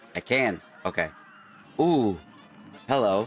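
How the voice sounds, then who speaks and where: A man is speaking with music in the background. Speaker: gamer. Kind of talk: gameplay commentary.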